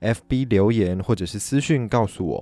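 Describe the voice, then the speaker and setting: Recorded very cleanly over a silent background, a man speaks with a fairly low pitch. His tone is dark and mellow, with ordinary pitch variation. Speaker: podcast host. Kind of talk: solo podcast talk. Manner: animated.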